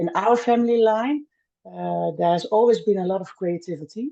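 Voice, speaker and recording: A woman with a Dutch accent speaks with lively intonation. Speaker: milliner. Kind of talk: podcast interview. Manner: halting, many fillers.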